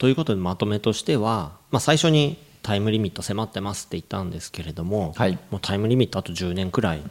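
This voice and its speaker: Lively intonation marks a man's fairly low-pitched voice as he talks at a very fast pace on a very clean recording with a silent background. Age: 40s. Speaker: English coach and podcast co-host. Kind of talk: casual chat with explanatory talk.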